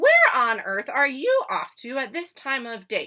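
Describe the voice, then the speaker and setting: A put-on character voice that sounds female, high in pitch and raised and projected, moves at a fairly slow pace. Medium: read story.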